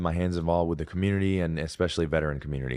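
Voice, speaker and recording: Against a quiet background, a man with an Alabama accent speaks at a very deep, low pitch with ordinary pitch variation. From Alabama, US South. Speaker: Navy veteran and fitness content creator. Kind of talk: podcast interview. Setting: studio.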